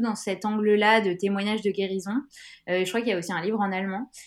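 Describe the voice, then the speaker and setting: Talking at a fairly quick pace, a woman with an ordinary speaking voice has a fairly high pitch. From France, Grenoble. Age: 30s. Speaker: non-fiction author. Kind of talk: interview.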